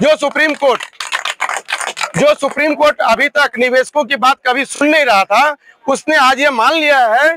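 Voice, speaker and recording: A man's raised, projected voice at an extremely high pitch, fairly slow in pace, with a dry, close sound and no echo. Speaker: protest leader of investors. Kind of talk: rally speech.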